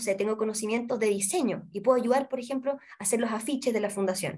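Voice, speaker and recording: The woman's voice sits at a fairly high pitch and shows ordinary pitch variation. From Chile, Santiago. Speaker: literacy nonprofit coordinator and tutor. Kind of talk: interview.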